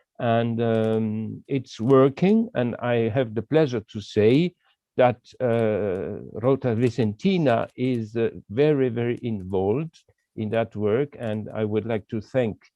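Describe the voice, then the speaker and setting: Someone with a non-native accent speaks at a very slow pace in a dark, mellow tone, with ordinary pitch variation and a dry, close sound without echo. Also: man, medium pitch for a man. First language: not English. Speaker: walking trail association representative. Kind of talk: video call interview. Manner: halting, many hesitations.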